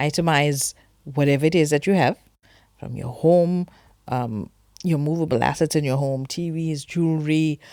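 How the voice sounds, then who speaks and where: Very deep and low, the woman's pitch holds fairly even intonation. The recording is very clean with a silent background. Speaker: financial advisor. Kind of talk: tutorial. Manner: fast.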